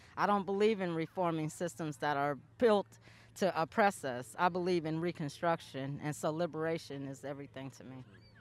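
Against a silent background in a very clean recording, a woman talks fairly quickly at a fairly low pitch with ordinary pitch variation. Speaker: community activist. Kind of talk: rally speech; community event chat. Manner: passionate, forceful, preacher-like cadence.

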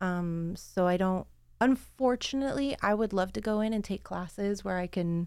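Recorded very cleanly against a silent background, a woman with an American accent and a plain, everyday voice speaks at a moderate pace, her medium pitch showing ordinary variation. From Oregon, US. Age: 30s. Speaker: low voltage electrical apprentice. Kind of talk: casual chat.

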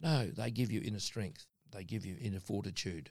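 A man speaks in an Australian accent. His fairly low voice moves at a fairly quick pace. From Darwin, Northern Territory, Australia. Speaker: mining company chairman. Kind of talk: interview.

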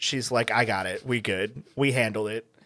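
The speaker has an American accent and a bright, sharp tone. The pace is moderate. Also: man. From Texas Hill Country. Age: 20s. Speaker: podcast guest, fellow podcaster. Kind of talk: casual chat. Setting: video call.

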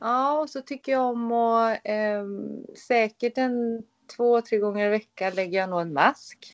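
A plain, everyday voice at a fairly slow pace. Its pitch varies in an ordinary way. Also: woman, fairly high pitch for a woman. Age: 30s. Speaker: skin care therapist, clinic owner. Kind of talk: interview on a podcast.

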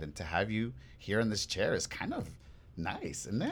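The recording is very clean, with a silent background. A man speaks with vocal fry and ordinary pitch variation. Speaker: podcast host. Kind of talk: casual chat. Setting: studio. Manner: animated.

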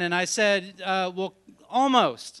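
A man's raised, projected voice with an animated tone, a bright, sharp tone and ordinary pitch variation. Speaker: storyteller. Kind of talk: live storytelling, comedic. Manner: animated, comedic.

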